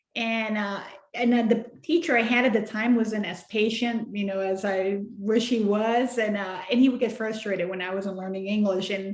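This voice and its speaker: With a Spanish accent, the speaker keeps a moderate pace, hardly any pauses and fairly even intonation. Audible room echo and noticeable background noise come through. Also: woman, fairly high pitch for a woman. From Mexico. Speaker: children's book author. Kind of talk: interview.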